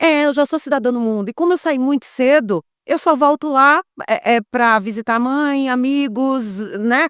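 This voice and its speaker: At a moderate pace, a woman speaks at a high pitch with ordinary pitch variation, and the sound is dry and close with no echo. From Brazil, Bahia (Salvador). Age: 40s. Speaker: sexologist, former journalist. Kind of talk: interview conversation. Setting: podcast recorded in a motorhome at a beach.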